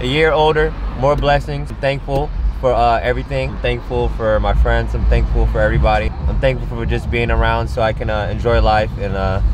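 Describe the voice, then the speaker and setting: There is noticeable background noise, and the sound is dry with no echo. A man talks at a fairly quick pace. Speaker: guest. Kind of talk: interview answer. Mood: thankful, relaxed. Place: car. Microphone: camera far.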